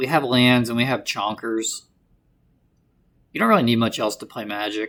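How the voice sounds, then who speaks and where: The recording is very clean, with a silent background. Speech moves at a moderate pace, broken by long, frequent pauses. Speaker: gaming streamer. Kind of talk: gameplay commentary. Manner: energetic; hesitant, self-correcting.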